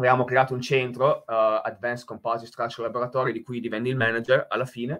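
Very fast and in monotone, flat intonation, a man talks at a medium pitch. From Italy. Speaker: nuclear engineer and professor. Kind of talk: technical presentation. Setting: video call. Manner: halting, many filler sounds and repetitions. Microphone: headset.

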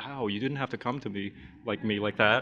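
The pace is very fast, with a bright, sharp tone. Intonation stays monotone and flat. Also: man. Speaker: YouTube animator; panelist. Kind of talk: convention panel talk. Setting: stage with audience. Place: hall. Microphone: podium.

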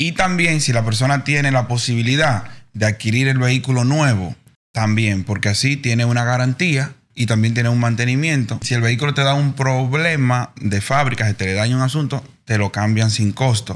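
Speaking at a moderate pace, this man has an unremarkable speaking voice at a medium pitch, with ordinary pitch variation and very even loudness. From Dominican Republic. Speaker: podcast guest. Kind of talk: casual chat. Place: studio. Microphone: studio mic.

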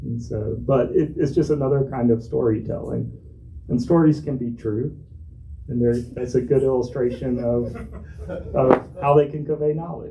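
With an American accent, a man at a medium pitch talks at a moderate pace in a dark, mellow, somewhat breathy tone, his intonation fairly even, over light background noise. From North Carolina, Charlotte; Lumbee (Robeson County roots); North Carolina. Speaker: author and hydrology professor; hydrology professor. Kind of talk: book talk conversation. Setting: bookstore event with audience. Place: shop. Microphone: microphone cutting off.

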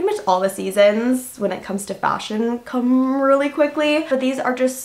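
Her intonation lively, a woman speaks in a high voice. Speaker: lifestyle vlogger. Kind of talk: casual haul review chat. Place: home room.

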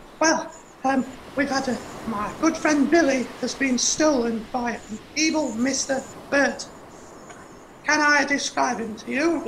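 A cartoonish character voice, high-pitched and fairly slow, with long, frequent pauses over clear background noise. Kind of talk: children's puppet show. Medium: puppet show. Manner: anxious, chatty.

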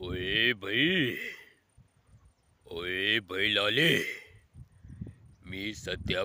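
A man puts on a character voice. It is pitched fairly low. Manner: exaggerated, mouth full of food.

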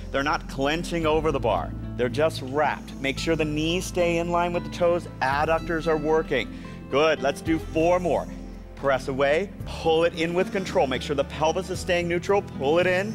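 Clear music plays in the background. The speech goes at a moderate pace with fairly even intonation. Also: man. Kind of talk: exercise class instruction. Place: gym. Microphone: lapel.

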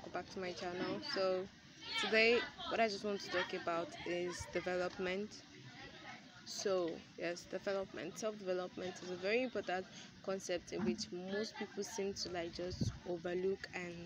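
Long, frequent pauses break up the speech, which has a dry sound with no echo and crowd noise in the background. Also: woman, moderate pace. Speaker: vlogger. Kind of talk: casual vlog chat. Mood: calm, encouraging. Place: street. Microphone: phone near.

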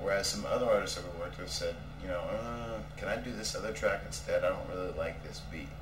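Noticeable background noise accompanies someone speaking at a fairly quick pace. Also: man. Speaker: film director. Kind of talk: casual interview. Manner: halting, many fillers.

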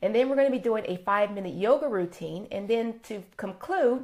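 Moving at a fairly quick pace, a woman speaks with lively intonation. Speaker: wellness host. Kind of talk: live broadcast talk. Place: home room. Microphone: phone near.

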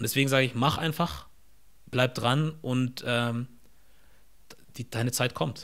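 Over a quiet background, a man speaks at a medium pitch with ordinary pitch variation. His pace is fairly slow, with long, frequent pauses. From Germany, near Stuttgart (Ostfildern); Germany. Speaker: content creator and podcast host; content creator, podcast host. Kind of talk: casual interview. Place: home room. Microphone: studio mic.

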